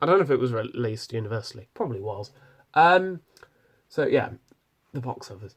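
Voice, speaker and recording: Somewhat breathy, a man talks at medium pitch with lively intonation. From England. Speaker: movie reviewer, vlogger. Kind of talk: casual spoken review. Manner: halting, many fillers.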